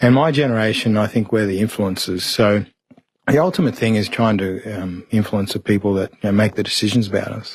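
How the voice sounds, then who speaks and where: Speaking with an Australian accent, a man keeps a fairly quick pace and a fairly low pitch with ordinary variation. His loudness swings widely. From Mount Isa, Queensland, Australia. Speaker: barrister. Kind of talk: interview answer.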